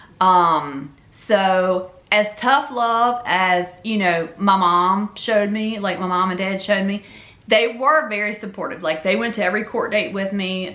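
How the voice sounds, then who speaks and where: Over noticeable background noise, a woman talks fairly slowly in a Memphis accent, medium in pitch with ordinary pitch variation. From Louisiana. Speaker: YouTuber telling personal story. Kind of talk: storytelling monologue. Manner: casual, animated.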